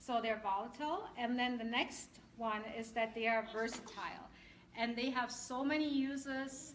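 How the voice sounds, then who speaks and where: Amid noticeable background noise and audible room echo, a woman with a slight German accent talks at a moderate pace in a high voice with fairly even intonation. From Germany. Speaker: essential oils seller and class presenter. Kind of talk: product class presentation. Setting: live class with audience, streamed on Facebook.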